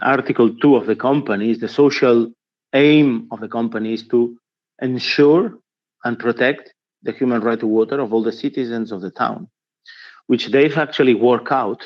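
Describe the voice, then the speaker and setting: Speaking at a moderate pace with a Spanish accent, a man keeps his intonation fairly even. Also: medium pitch for a man. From Spain. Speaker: trade union policy officer. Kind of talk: conference talk. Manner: hesitant, with fillers and restarts.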